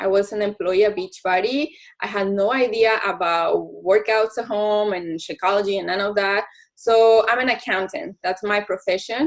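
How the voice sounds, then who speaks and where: Speaking with a Spanish accent at a moderate pace, a woman uses a fairly high pitch with ordinary pitch variation. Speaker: network marketing coach. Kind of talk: team call presentation. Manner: code-switching English and Spanish.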